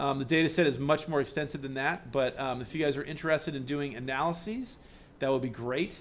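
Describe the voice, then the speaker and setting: Audible room echo fills the space as a man speaks at a very fast pace. His fairly high pitch shows ordinary variation. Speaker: university professor. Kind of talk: lecture. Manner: halting, many fillers and restarts.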